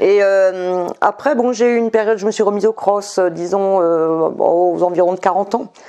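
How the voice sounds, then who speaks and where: A woman's medium-pitched voice with fairly even intonation, very even loudness and hardly any pauses, over noticeable background noise. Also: moderate pace. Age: 60s. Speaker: ultra-trail runner. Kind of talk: interview. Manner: hesitant.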